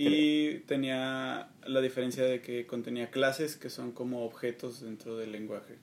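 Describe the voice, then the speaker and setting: Speaking at a fairly slow pace with hardly any pauses, a man keeps a medium pitch. His intonation is monotone and flat. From Mexico. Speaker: student team captain. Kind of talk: casual chat.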